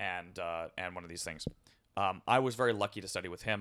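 This man has a very deep, low pitch and a bright, sharp tone. He talks at a fairly quick pace with an American accent. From Southern California. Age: 30s. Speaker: orchestral conductor. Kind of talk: interview. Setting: indoors at a table, on location. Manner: halting.

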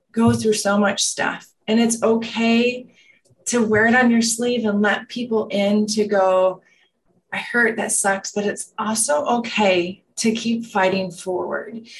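A woman speaks at a very slow pace in a fairly high, somewhat breathy voice. Her intonation is monotone and flat. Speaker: wellness center manager and former business owner. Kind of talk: casual interview chat.

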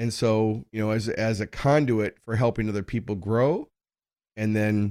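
A man with an American accent, in a very clean recording with a silent background. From US Midwest, North Minneapolis. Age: 60s. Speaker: entrepreneur and business consultant. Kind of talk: podcast interview.

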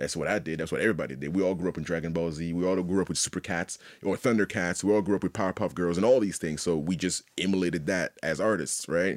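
Captured in a very clean recording with a silent background, a man with a very deep, low pitch talks very fast in fairly even intonation. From Haiti. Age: 30s. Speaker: visual artist. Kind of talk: casual chat.

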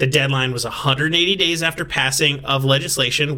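Noticeable background noise behind a man with a fairly high pitch, a moderate pace and ordinary pitch variation. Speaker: podcast host. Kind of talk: casual chat.

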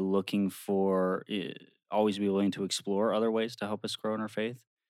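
In a dry, close sound with no echo and a very clean recording with a silent background, a man with an American accent speaks at a moderate pace, his fairly low voice monotone and flat. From Maryland. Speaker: former lay missionary, engaged. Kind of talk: casual interview chat.

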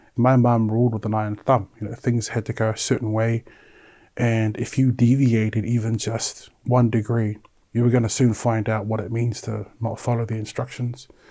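Dark and mellow in tone, a man talks at a moderate pace and medium pitch in a monotone, flat intonation. The recording is very clean with a silent background. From New Zealand, South Auckland (Samoan parents). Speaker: suicide attempt survivor. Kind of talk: personal testimony.

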